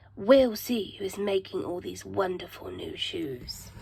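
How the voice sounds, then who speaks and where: Doing a put-on character voice, a woman speaks raspy and at a fairly slow pace, with big swings in loudness over light background noise. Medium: read story.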